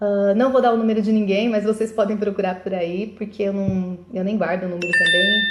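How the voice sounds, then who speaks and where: Noticeable background noise runs behind a woman's voice. She holds a medium pitch with monotone, flat intonation. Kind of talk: live video monologue. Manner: fast; halting.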